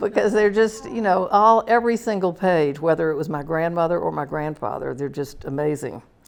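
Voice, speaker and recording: A woman talks at a fairly quick pace with hardly any pauses and lively intonation. Her pitch is fairly low, and there is noticeable background noise. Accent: American. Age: 70s. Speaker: visual artist. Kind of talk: artist talk.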